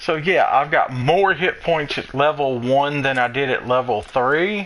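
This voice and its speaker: With a Southern US accent, a man with a fairly high voice talks at a fairly slow pace amid noticeable background noise. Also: ordinary pitch variation. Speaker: gaming streamer. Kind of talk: gameplay tutorial.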